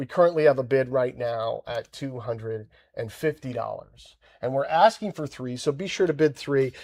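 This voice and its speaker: With an unremarkable speaking voice, a man talks at a fairly quick pace with lively intonation in a dry, close sound with no echo. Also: very clean recording, silent background. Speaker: auctioneer. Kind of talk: casual conversation on auction livestream.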